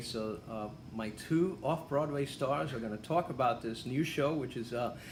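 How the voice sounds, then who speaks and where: A man's speech, moderately paced, has audible echo from the room. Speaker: theatre interviewer. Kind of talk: casual interview. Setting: theatre lobby. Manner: quiet.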